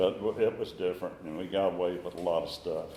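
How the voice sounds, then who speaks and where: The speaker has a North Carolina accent and a fairly quick pace. The intonation stays monotone and flat. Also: man. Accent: Southern US, North Carolina. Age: 80s+. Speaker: recovering alcoholic sharing his story. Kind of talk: recovery meeting talk. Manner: halting, with repetitions.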